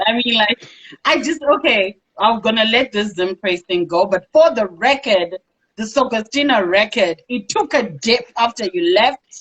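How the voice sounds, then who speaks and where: At a moderate pace, a woman with a plain, everyday voice speaks in a fairly high pitch with lively intonation. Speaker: talk show host. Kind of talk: interview.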